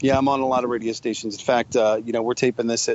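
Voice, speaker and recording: Speaking in a flat monotone, a man's intonation barely moves. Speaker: radio DJ. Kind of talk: casual interview chat. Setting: phone call.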